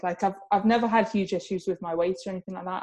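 With fairly even intonation, this woman rushes along at a very fast pace. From Spain (English expat upbringing). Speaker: online fitness coach and figure competitor. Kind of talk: casual interview chat.

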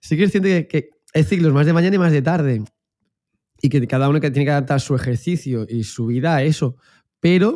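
A man with a dark, mellow tone and fairly high pitch speaks at a fairly quick pace, using ordinary pitch variation and long, frequent pauses. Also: very clean recording, silent background. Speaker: exercise professional, podcast co-host. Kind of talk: casual chat.

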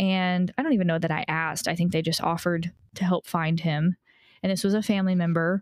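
With a normal speaking voice, a woman talks at a moderate pace, her fairly low pitch carrying fairly even intonation and very even loudness. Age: 30s. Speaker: podcast co-host, adoptee. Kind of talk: casual chat.

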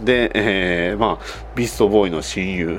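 This is a man speaking. Noticeable background noise runs under his voice. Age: 30s. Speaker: podcast host. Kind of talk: casual monologue.

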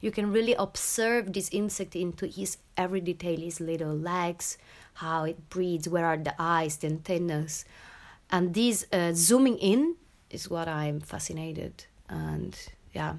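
On a very clean recording with a silent background, a woman with an Italian accent speaks in a fairly low pitch with ordinary pitch variation. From Italy. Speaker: performance artist and choreographer. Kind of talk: interview. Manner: halting.

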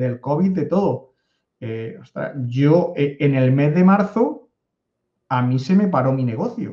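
A man talks at a fairly slow pace in a fairly high pitch with a dark, mellow tone. His voice is somewhat breathy, and his intonation is lively. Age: 50s. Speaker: data analytics consultant. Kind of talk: interview.

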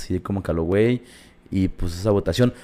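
A man speaks at a fairly low pitch in a dark, mellow tone. His pitch varies in an ordinary way. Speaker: podcast co-host. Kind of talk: casual chat.

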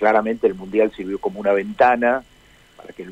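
A man's voice, dry and close-miked with no echo. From Argentina, San Francisco (Córdoba). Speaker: ambassador. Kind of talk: interview. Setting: phone call. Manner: hesitant, many fillers.

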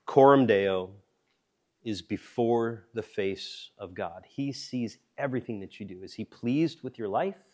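A man with an ordinary speaking voice, medium pitch, ordinary pitch variation, big swings in loudness and a fairly slow pace, on a very clean recording with a silent background. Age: 40s. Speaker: pastor or Bible teacher. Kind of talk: sermon.

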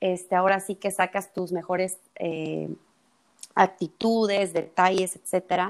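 This woman talks at medium pitch and a fairly slow pace. Her intonation is monotone and flat. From El Salvador. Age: 20s. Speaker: psychologist. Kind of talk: casual chat.

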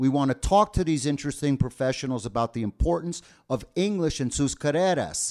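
A man with an American accent and a plain, everyday voice speaks at a fairly quick pace and fairly high pitch, with lively intonation, on a very clean recording with a silent background. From New Jersey, US. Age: 50s. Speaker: podcast host, English teacher. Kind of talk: bilingual casual chat.

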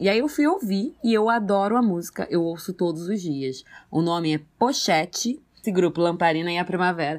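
An unremarkable speaking voice with lively intonation moves at a fairly quick pace with hardly any pauses, on a very clean recording with a silent background. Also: woman. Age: 20s. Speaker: podcast co-host. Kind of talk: casual chat.

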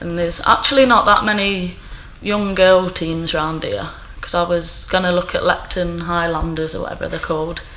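With an East Midlands accent, a woman talks at a moderate pace in a fairly low pitch and fairly even intonation over noticeable background noise. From Nottingham, East Midlands. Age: 20s. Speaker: postal worker. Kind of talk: casual chat.

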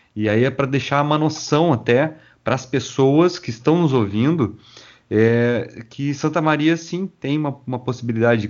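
A man speaks in an unremarkable speaking voice. His pitch is medium, with ordinary pitch variation. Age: 40s. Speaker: podcast host. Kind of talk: interview.

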